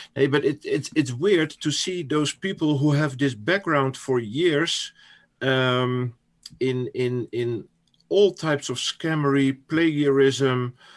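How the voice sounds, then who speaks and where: A man with a Dutch accent and a fairly high pitch, at a very slow pace, on a very clean recording with a silent background. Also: ordinary pitch variation. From Netherlands. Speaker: crypto commentator. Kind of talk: interview. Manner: halting.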